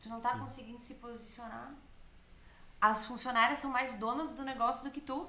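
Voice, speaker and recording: A woman speaks in a high voice with long, frequent pauses and big swings in loudness, with audible echo in the room. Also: fairly even intonation, moderate pace. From Bento Gonçalves, southern Brazil. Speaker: business trainer. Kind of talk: casual chat.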